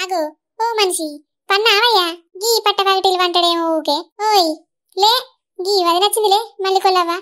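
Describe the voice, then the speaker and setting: Woman's squeaky, put-on character voice at an extremely high pitch, with fairly even intonation. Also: moderate pace. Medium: comedy sketch. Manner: blunt, scolding.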